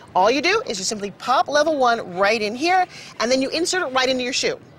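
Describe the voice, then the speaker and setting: The speaker rushes along at a very fast pace with very wide pitch swings. Noticeable background noise is present. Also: woman. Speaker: television host and product presenter. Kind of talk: infomercial presentation.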